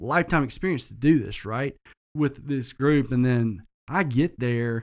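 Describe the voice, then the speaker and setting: A man with a Southern US accent and ordinary pitch variation. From US South, south Georgia. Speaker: entrepreneur, business owner. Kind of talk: casual interview chat.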